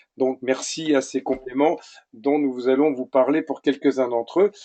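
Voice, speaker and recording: A dark, mellow tone comes across in a dry, close sound without any echo. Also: man. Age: 60s. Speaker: webinar presenter, product distributor. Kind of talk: testimony. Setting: webinar, online audio.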